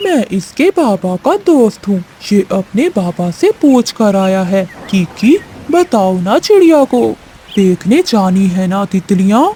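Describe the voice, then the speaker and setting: In a cartoonish character voice, a female-sounding speaker talks at a fairly high pitch and a fairly slow pace. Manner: sweet-talking then threatening.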